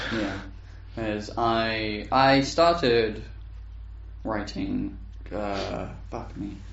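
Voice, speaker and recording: A man talks very slowly, pausing long and often, with audible room echo around him. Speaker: podcast co-host. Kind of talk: casual chat. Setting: home recording room.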